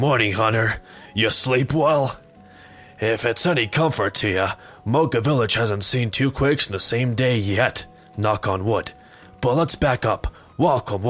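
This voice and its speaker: In a gruff, put-on character voice at medium pitch, a man talks at a moderate pace with long, frequent pauses and very even loudness, faint music playing in the background. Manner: badass, gruff.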